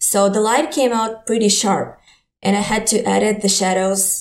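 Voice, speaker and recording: A woman with a Ukrainian accent speaks at a moderate pace. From Ukraine. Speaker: digital artist and photographer. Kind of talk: interview.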